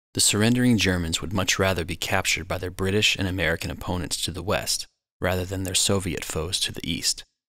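A man's very deep, low voice with ordinary pitch variation, music playing in the background. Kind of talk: documentary narration.

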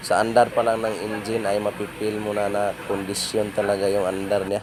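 Over noticeable background noise, a fairly low-voiced man talks at a moderate pace in a monotone, flat intonation. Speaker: auto mechanic. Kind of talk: tutorial. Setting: outdoors.

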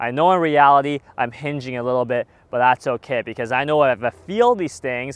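Speaking at a fairly quick pace, a man is heard in a dry recording with no echo. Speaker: golf instructor. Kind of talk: tutorial. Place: open country. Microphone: lapel.

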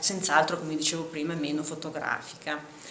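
In a room with audible echo and light background noise, a woman speaks at a moderate pace and a fairly low pitch, her intonation monotone and flat. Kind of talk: interview answer. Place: hall.

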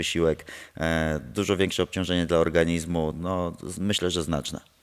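Against a quiet background, a man with a very deep, low pitch speaks at a moderate pace. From Poland. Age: 30s. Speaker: martial arts instructor and former MMA fighter; interviewee. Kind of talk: casual interview. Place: gym. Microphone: handheld.

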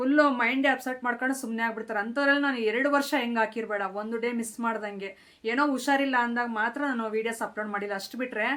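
In a Telugu accent, a woman talks at a high pitch with fairly even intonation. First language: Telugu (speaking Kannada). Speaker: lifestyle vlogger. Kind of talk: vlog monologue.

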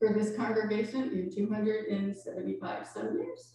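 A woman is speaking. Strong room echo surrounds her voice. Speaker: minister. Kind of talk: sermon. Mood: reflective, warm. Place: church.

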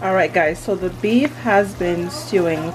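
Faint music sits behind a woman's voice. She has a fairly low pitch and keeps a moderate pace. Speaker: home cook vlogger. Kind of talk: casual vlog chat. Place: kitchen. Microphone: phone near.

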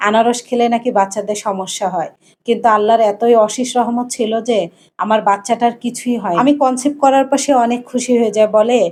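A woman speaks in a normal speaking voice with a fairly high pitch. Her intonation stays fairly even. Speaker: vlogger. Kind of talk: personal life story narration.

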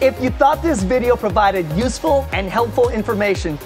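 With clear music in the background, a man keeps a moderate pace as he talks. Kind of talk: video host talking to camera. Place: open country. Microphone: lapel.

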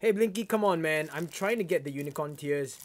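This man talks at a very fast pace with a Singaporean accent and lively intonation. His pitch is fairly high for a man. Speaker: YouTuber; live streamer. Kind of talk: live stream unboxing. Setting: live stream from home.

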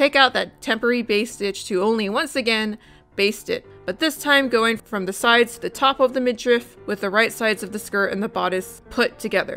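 Fairly quick speech with hardly any pauses and ordinary pitch variation, music playing in the background. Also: woman, fairly high pitch for a woman. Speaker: hobby sewer. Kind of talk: sewing tutorial narration. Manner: fast.

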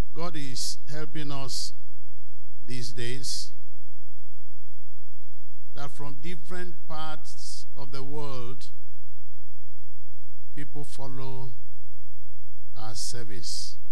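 A man at a very slow pace with long, frequent pauses and very even loudness, over light background noise. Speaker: preacher. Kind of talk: sermon. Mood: warm, smiling. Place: church. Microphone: handheld.

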